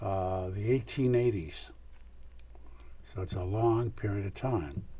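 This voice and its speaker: The man's voice sits at a fairly low pitch with a dark, mellow tone and is somewhat breathy. His intonation is lively, and there is audible room echo. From US Northeast (Scranton, Pennsylvania). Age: 90s. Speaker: retired lawyer and real estate developer. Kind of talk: oral history interview. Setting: television studio.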